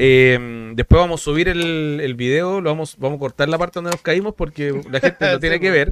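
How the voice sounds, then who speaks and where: In a normal speaking voice, a man talks at a fairly high pitch with ordinary pitch variation and hardly any pauses. The sound is dry and close, with no echo. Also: fairly quick pace. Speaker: podcast co-host. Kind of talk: casual chat.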